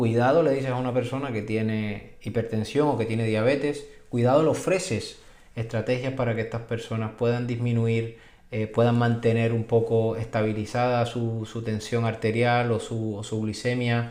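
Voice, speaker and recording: A man speaks at a medium pitch and a moderate pace. His intonation is flat and monotone, with audible room echo. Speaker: physician. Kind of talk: video explainer. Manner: halting, repetitive fillers.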